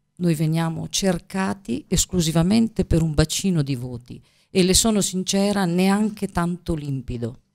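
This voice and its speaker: A woman with a fairly low pitch talks at a moderate pace with lively intonation over a quiet background. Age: 50s. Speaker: teacher and regional election candidate; teacher, election candidate. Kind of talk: political interview. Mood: earnest, persuasive. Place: studio. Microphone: studio mic.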